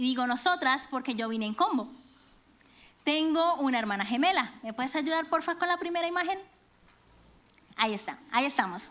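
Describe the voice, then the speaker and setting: A woman speaks fairly quickly with a high pitch and lively intonation. Her speech has long, frequent pauses. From Venezuela and Colombia. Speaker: church speaker, music teacher. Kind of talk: sermon. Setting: church.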